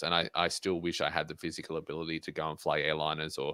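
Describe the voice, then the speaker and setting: In a very clean recording with a silent background and a dry, close sound with no echo, a man with an Australian accent speaks very fast at a very deep, low pitch with a bright, sharp tone. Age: 20s. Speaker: motivational speaker and pilot. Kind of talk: interview.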